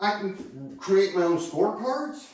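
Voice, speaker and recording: A man at a very slow pace, with audible room echo. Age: 60s. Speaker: golf instructor. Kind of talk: casual monologue tutorial. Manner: conversational, rambling.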